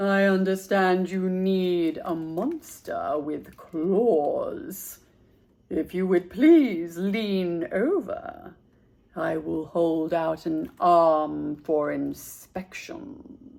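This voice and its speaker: A female-sounding, put-on character voice sits at a middle pitch. It moves at a very slow pace. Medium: read story. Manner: courteous, prim.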